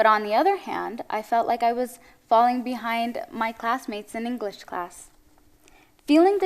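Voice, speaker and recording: With lively intonation, a woman speaks at a moderate pace in a fairly high pitch. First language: Tigrinya. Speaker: spoken word poet. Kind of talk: spoken word performance. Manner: expressive, measured.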